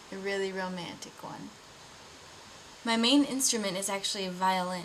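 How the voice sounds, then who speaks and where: A woman with an American accent at a medium pitch and moderate pace, with big swings in loudness over noticeable background noise. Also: ordinary pitch variation. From US Midwest (Iowa, Wisconsin). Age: 20s. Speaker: video blogger. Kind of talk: casual personal vlog.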